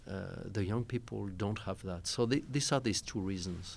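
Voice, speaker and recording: In a very clean recording with a silent background, a man speaks with a fairly low pitch and vocal fry. He goes at a fairly slow pace with ordinary pitch variation. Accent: French. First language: French. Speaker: diplomat. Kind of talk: panel discussion. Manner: halting.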